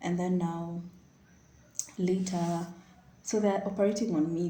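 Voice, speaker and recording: The voice is somewhat breathy with a dark, mellow tone, and audible room echo surrounds it. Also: woman. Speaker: vlogger. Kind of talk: personal storytelling. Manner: animated.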